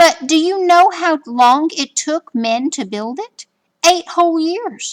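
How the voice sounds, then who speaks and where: A woman's put-on character voice, raised and projected, at a fairly slow pace. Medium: read story. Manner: innocent, earnest.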